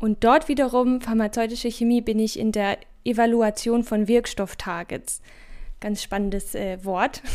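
In a very clean recording with a silent background, a woman speaks fairly slowly at a fairly high pitch with fairly even intonation. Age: 20s. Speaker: doctoral researcher in pharmacy. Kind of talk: podcast interview.

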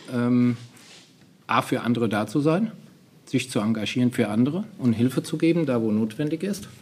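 Speaking at a medium pitch and a moderate pace, a man uses lively intonation with long, frequent pauses. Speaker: youth fire brigade leader. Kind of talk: interview.

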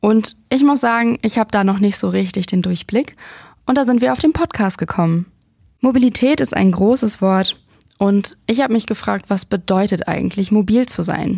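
With an ordinary speaking voice, a woman talks at medium pitch and a moderate pace with ordinary pitch variation, in a very clean recording with a silent background. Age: 30s. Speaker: podcast host. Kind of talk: scripted intro.

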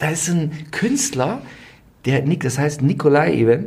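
A man's fairly high-pitched voice with vocal fry and audible room echo. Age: 40s. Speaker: royal expert podcast co-host. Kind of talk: casual chat.

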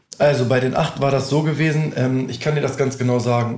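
Somewhat breathy and monotone, a man with a medium pitch speaks with flat intonation at a moderate pace. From northern Germany, near Hannover. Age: 20s. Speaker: music artist manager. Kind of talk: casual interview.

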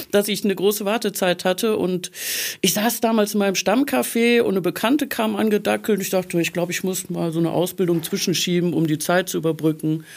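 At a very fast pace, a woman speaks at medium pitch with ordinary pitch variation. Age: 50s. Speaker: life coach. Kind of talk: casual chat. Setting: studio.

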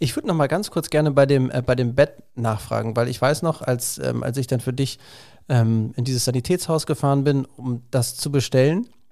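This man has a medium pitch and a dark, mellow tone, with ordinary pitch variation at a moderate pace. The recording is very clean, with a silent background. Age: 40s. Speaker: podcast host talking with his ill mother. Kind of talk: casual family conversation.

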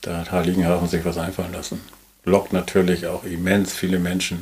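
At a fairly quick pace, a man talks in a very deep, low voice. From northern Germany, Schleswig-Holstein coast. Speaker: hotel ship owner. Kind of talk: casual interview. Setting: on a moored hotel ship.

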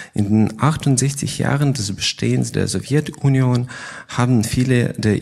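At a fairly slow pace, a man speaks in a medium pitch with ordinary variation and a dark, mellow tone. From Crimea, Ukraine. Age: 30s. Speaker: chemistry researcher, lab head. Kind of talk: prepared statement in panel. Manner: halting, non-native German.

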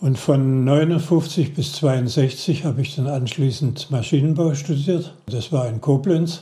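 This man speaks very slowly in a fairly high pitch, with a somewhat breathy, dark and mellow tone. His intonation stays fairly even. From Baden-Württemberg, Heilbronn district. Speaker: retired automotive engine engineer. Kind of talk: interview storytelling. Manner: halting with repetitions.

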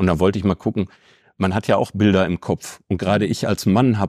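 A man with an unremarkable speaking voice, fairly low in pitch with fairly even intonation, in a very clean recording with a silent background and a dry, close sound with no echo. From Ruhr area, Bochum. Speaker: chamber of crafts executive. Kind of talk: interview.

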